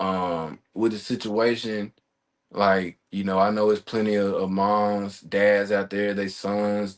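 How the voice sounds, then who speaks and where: A man speaks in a Mississippi accent at fairly low pitch. His delivery is monotone and flat, at a very slow pace. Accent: Mississippi accent, noticeable. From Mississippi (Jackson). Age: 20s. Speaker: gunshot survivor, podcast guest. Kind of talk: testimony interview.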